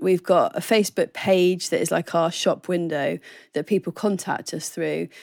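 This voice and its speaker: In a southern English accent, a woman speaks at a fairly low pitch and a moderate pace. The recording is very clean, with a silent background. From southern England. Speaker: ministry training coordinator. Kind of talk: interview.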